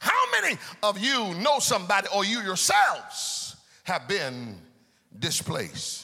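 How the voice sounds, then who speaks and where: Amid noticeable background noise, a man uses a raised, projected voice with a high pitch. He speaks at a very slow pace with very wide pitch swings. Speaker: preacher. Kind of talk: sermon. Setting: church. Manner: animated; call-and-response.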